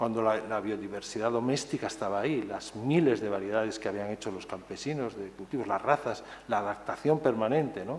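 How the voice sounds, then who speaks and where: Audible room echo surrounds a man with a fairly low voice who talks at a fairly quick pace with hardly any pauses and ordinary pitch variation. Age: 60s. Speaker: author and conference speaker. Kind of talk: conference talk. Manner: hesitant, many fillers and repetitions.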